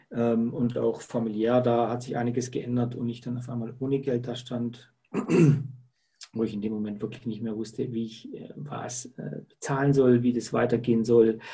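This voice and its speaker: Somewhat breathy and dark, mellow in tone, a man speaks at a medium pitch and moderate pace with fairly even intonation. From Lake Constance region, southern Germany. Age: 50s. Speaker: salesperson. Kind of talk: interview. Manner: hesitant with frequent fillers.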